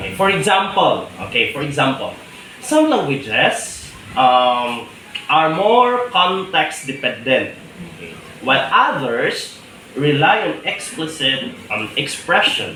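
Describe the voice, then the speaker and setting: Amid noticeable background noise and audible room echo, a man with a Visayan Filipino accent speaks at a fairly slow pace and fairly high pitch, with very wide pitch swings and big swings in loudness. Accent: Filipino (Cebuano) English. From Philippines, Cebuano-speaking region. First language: Cebuano. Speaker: teacher. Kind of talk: interview answer. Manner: hesitant, many fillers.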